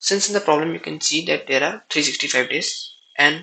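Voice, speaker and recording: This man, who has a non-native accent, talks at a fairly slow pace. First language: not English. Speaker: programming tutorial creator. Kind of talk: tutorial. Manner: halting.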